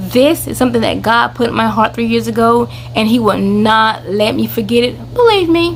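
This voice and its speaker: Over noticeable background noise, the speaker talks at a moderate pace in an animated tone. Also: woman. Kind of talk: casual vlog announcement.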